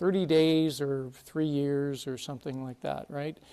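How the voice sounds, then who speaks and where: A man speaks fairly slowly with a Canadian accent. He has a normal speaking voice. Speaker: conference speaker, consulting firm partner. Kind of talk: conference presentation. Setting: stage with audience.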